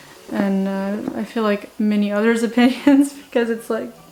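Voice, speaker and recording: With noticeable background noise, a woman talks at a fairly high pitch. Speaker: book reviewer, video blogger. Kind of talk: casual talk to camera. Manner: halting, filler-heavy.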